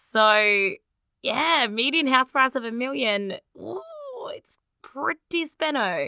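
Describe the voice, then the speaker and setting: In an Australian accent, the speaker talks at a very slow pace with lively intonation, a bright, sharp tone and long, frequent pauses, recorded with a dry, close sound and no echo. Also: woman, high pitch for a woman. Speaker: podcast co-host. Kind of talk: casual chat.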